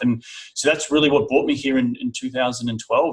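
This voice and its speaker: The speaker is male. His accent is Australian. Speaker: real estate investor. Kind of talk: interview. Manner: casual, repeats words.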